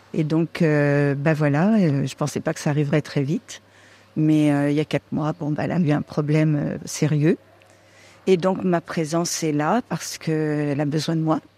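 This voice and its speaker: In a very clean recording with a silent background and a dry, close sound with no echo, a woman speaks at a moderate pace in a very deep, low voice, dark and mellow in tone, with fairly even intonation. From Vendée, western France. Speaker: friend of a patient. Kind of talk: casual chat. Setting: patient's room.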